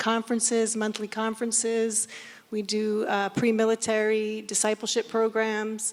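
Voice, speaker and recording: In an American accent, a woman talks at a fairly slow pace. Her pitch is fairly high. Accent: sounds American. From Scotland. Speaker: missionary ministry worker. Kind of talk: panel discussion self-introduction. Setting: stage with audience.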